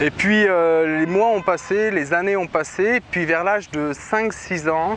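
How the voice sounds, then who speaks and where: A man's voice, with ordinary pitch variation, is heard against noticeable background noise. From central France, Berry. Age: 30s. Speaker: testimony giver. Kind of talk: testimony. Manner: hesitant, many fillers.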